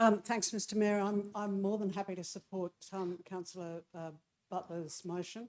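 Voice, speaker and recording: In an Australian accent, a woman speaks at a moderate pace with monotone, flat intonation. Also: medium pitch for a woman. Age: 60s. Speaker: councillor. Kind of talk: council meeting debate. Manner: hesitant, many fillers.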